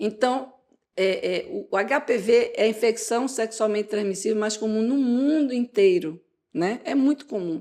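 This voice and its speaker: Fairly slow and dark, mellow in tone, a woman's fairly high voice moves with ordinary pitch variation. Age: 60s. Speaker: gynecologist. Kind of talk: interview. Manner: animated.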